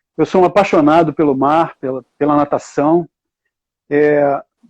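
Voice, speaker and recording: In a dry, close sound with no echo, a man speaks fairly slowly at a fairly high pitch, with a dark, mellow tone and fairly even intonation. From Rio de Janeiro, Brazil. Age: 70s. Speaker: water polo coach and university professor. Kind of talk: live online talk.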